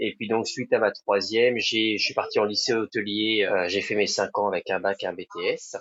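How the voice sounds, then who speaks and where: A man at a moderate pace, with hardly any pauses. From France, Sarthe (Pays de la Loire). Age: 40s. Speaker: restaurant owner. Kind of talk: podcast interview. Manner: hesitant, many fillers.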